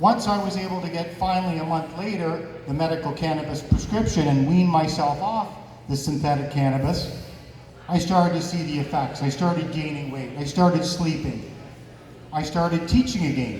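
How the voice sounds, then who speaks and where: Pitched fairly high for a man, his voice shows ordinary pitch variation, with noticeable background noise and audible room echo. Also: moderate pace. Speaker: cannabis advocate and martial arts instructor. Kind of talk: event talk. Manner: loud.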